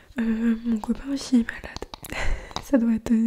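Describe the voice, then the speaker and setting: A soft-spoken woman whispers at a moderate pace. Noticeable background noise is present. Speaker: ASMR creator. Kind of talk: ASMR soft spoken talk to camera. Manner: soft-spoken, whispery, relaxing.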